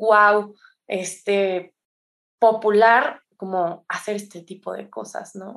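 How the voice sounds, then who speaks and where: Over a quiet background, a woman speaks with a fairly high pitch and monotone, flat intonation. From Mexico, San Luis Potosí. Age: 20s. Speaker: addiction counselor and yoga teacher. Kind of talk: testimony. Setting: remote recording.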